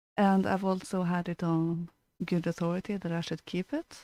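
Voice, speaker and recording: Recorded very cleanly against a silent background, a woman's fairly low, dark and mellow voice sounds dry and close with no echo, her intonation fairly even. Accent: Norwegian. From Norway. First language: Norwegian. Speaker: podcast co-host. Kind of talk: casual chat.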